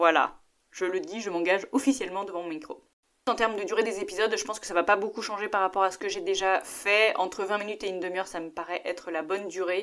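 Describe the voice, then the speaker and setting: With ordinary pitch variation and a medium pitch, a woman talks in an unremarkable speaking voice. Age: 30s. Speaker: podcast host. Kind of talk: solo podcast monologue.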